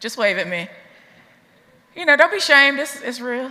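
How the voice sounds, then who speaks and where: A woman speaks in an Appalachian accent. Her tone is energetic. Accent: Southern US (Appalachian). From Southeast Tennessee, USA. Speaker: activist. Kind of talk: keynote speech to a live audience. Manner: energetic, rousing, conversational.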